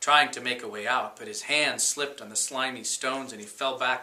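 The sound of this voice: The reading voice is unforced. Intonation stays fairly even throughout.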